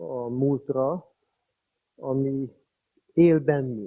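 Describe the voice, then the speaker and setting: Fairly high pitch for a man, with ordinary pitch variation. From Hungary, Budapest. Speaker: priest and school director. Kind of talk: public speech. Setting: commemorative meeting.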